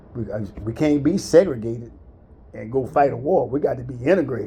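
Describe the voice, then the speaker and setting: With vocal fry and a dark, mellow tone, a man speaks at a very fast pace. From US South, central Florida. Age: 60s. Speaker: military veteran. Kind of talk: casual chat, life story.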